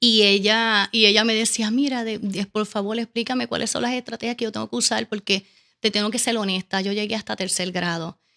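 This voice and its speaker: In a Caribbean Spanish accent, a woman talks at a fairly quick pace and fairly high pitch, her tone bright and sharp and her intonation fairly even. The recording is very clean, with a silent background and a dry, close sound with no echo. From Puerto Rico. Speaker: educational consultant. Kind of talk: interview. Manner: fast.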